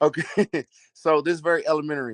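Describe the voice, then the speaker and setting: A man with a Texas accent talks at a moderate pace in a fairly high pitch, the sound dry and close with no echo. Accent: noticeable Southern US accent, Texas. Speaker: caller asking about a steroid cycle. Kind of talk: casual question on a live video call. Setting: video call, lying in bed.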